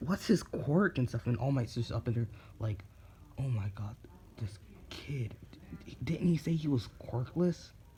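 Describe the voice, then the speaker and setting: At a moderate pace, a man with a medium pitch speaks in a dark, mellow tone that is somewhat breathy. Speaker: YouTuber telling fan fiction. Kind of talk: casual storytelling monologue. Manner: halting, many fillers (um).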